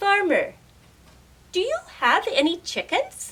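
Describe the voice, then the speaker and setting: In a put-on character voice, a woman speaks fairly slowly at an extremely high pitch that swings very widely. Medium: read story. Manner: calm, deliberate.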